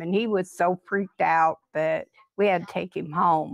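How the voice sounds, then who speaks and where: A woman with a normal speaking voice talks at a moderate pace, her fairly low pitch showing ordinary variation. The recording is very clean with a silent background, and the sound is dry and close with no echo. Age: 60s. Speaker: witness telling an encounter story. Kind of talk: storytelling.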